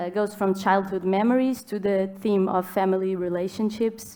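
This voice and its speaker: A woman with a Portuguese accent, medium in pitch, dark and mellow in tone, in a monotone, flat intonation at a moderate pace, in a very clean recording with a silent background. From Portugal. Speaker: writer, moderator. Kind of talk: panel conversation. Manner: halting, many fillers.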